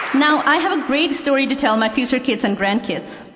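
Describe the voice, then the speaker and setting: With a Nepali accent, a woman speaks at a high pitch amid noticeable background noise and audible room echo. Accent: Nepali accent, self-described. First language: Nepali (English is second language). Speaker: law graduate. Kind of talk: commencement speech. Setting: stage with audience.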